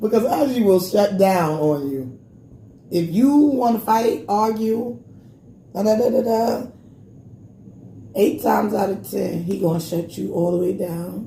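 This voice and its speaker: In a Brooklyn accent, a woman speaks at a medium pitch with lively intonation and an animated tone. Long, frequent pauses break up her speech, and audible room echo surrounds it. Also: fairly slow pace. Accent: New York (Brooklyn). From Brooklyn, New York (Brownsville). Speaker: podcast co-host. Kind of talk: casual chat. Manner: loud.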